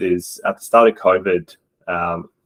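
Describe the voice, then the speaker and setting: A man with a strong Australian accent, dry and close with no echo. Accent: Australian, strong regional. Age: adult. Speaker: esports coach. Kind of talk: presentation.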